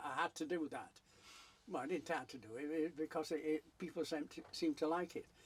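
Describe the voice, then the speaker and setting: A man with a Yorkshire accent and a fairly high pitch. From South Yorkshire. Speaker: painter. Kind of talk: interview answer.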